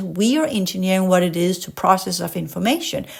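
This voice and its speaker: Someone with a Danish accent speaks at a fairly quick pace with ordinary pitch variation. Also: woman. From Denmark. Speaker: podcast host and spiritual educator. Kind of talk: casual monologue; reading aloud with commentary. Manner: animated; occasionally halting over complex words.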